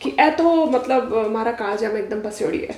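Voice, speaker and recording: A woman's animated tone and lively intonation over noticeable background noise. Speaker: podcast host. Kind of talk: interview.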